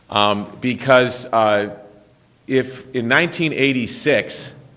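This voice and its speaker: A man is speaking with fairly even intonation. Audible room echo surrounds his voice. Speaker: lawyer, former federal prosecutor. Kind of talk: conference talk. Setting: symposium room with audience. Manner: loud; halting, many fillers.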